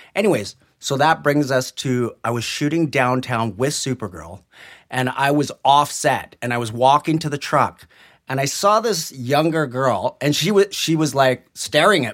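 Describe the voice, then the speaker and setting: With a Western Canadian accent, a man speaks at a fairly high pitch in a very clean recording with a silent background. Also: moderate pace. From Greater Vancouver, Canada. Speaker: special effects technician. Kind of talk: casual interview. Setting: small room at a public library.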